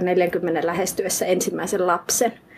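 Over noticeable background noise, the speech comes at a fairly slow pace with monotone, flat intonation. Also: woman. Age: 30s. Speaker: writer. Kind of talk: interview. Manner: halting.

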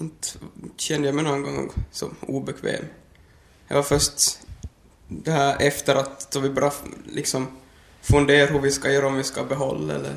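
Speaking at a moderate pace with long, frequent pauses, a man holds a monotone, flat intonation at a fairly high pitch. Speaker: young father. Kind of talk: interview.

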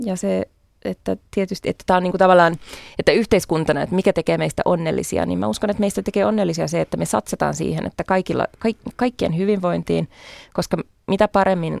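A woman speaks at a fairly quick pace, the sound dry and close with no echo. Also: very clean recording, silent background. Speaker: party chair, feminist politician. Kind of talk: radio interview. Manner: hesitant, many fillers.

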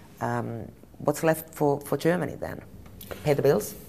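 A woman with a Finnish accent speaks at a moderate pace with ordinary pitch variation. Her tone is dark and mellow, with vocal fry. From Finland. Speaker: journalist. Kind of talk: interview.

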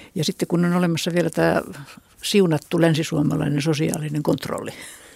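Recorded dry and close with no echo, a woman speaks at a fairly low pitch. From Finland, Satakunta. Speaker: retired regional researcher, ethnologist. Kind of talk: radio panel discussion. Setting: studio.

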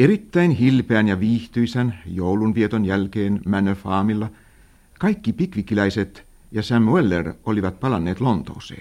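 At a fairly slow pace, a man's fairly low voice carries a dark, mellow tone and ordinary pitch variation. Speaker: narrator of radio drama. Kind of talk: vintage radio drama narration, formal literary storytelling. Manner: measured, formal and dry, in the old-fashioned radio announcer style.

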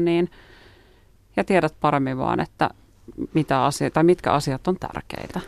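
A woman speaks with a very deep, low pitch at a moderate pace and fairly even intonation. The recording is very clean, with a silent background and a dry, close sound with no echo. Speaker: guest. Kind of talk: radio interview. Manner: hesitant, many fillers.

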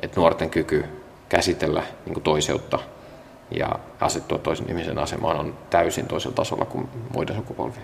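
Pausing long and often, a man with a very deep, low voice speaks at a moderate pace with lively intonation over noticeable background noise. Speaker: youth services director. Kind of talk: interview on location. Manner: halting, many fillers.

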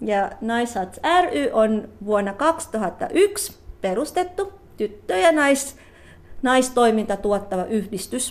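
Very slow and full of very wide pitch swings, a woman speaks in a Tagalog accent. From Philippines, Cavite City. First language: Tagalog (speaking Finnish). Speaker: psychologist. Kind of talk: interview. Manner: halting.

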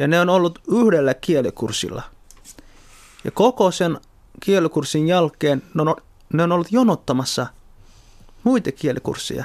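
A man's high-pitched voice with lively intonation, a fairly slow pace, long and frequent pauses, very even loudness, and a dry, close sound with no echo. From Somalia. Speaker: party activist and politician. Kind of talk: interview.

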